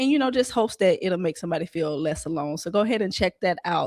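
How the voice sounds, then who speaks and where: In a Southern US accent, a woman speaks at a medium pitch with very wide pitch swings on a very clean recording with a silent background. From Columbus, Georgia, US South. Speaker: podcast host. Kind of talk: interview podcast.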